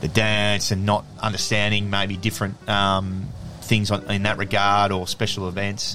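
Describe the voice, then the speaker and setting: With an Australian accent, a man speaks at a moderate pace and fairly low pitch. Noticeable background noise is present. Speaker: former professional Australian rules football player. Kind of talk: casual interview chat.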